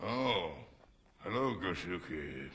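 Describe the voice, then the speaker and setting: A raspy, put-on character voice from a man, very deep and low in pitch, with very wide pitch swings. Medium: short film.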